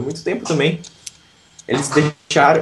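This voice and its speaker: The man's voice sits at a fairly high pitch. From southern Brazil, Santa Catarina. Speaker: English teacher and YouTuber. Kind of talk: interview.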